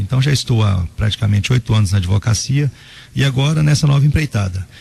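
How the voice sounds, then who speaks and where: Lively intonation runs through a man's voice. He speaks at a very fast pace. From Brazil, Goiás (Inhumas). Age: 30s. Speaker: mayor-elect and lawyer. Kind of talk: radio interview. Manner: halting, with fillers and repetitions.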